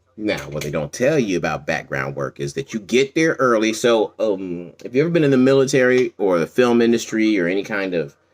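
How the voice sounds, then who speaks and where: Speaking at a fairly quick pace, a man leaves hardly any pauses. His pitch swings very widely. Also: medium pitch for a man. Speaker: comedian and actor. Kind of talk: casual monologue. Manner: loud.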